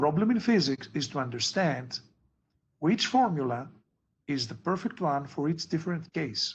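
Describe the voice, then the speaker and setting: A man speaks with a Greek accent at a moderate pace. His fairly high voice is somewhat breathy, with lively intonation. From Greece. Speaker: physics tutor. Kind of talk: tutoring session.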